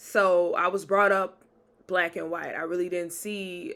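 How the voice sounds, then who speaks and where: This woman has a fairly low-pitched voice. She speaks with a Southern accent. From US South, Jackson, Mississippi. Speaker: podcaster and author. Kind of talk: casual storytelling. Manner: animated.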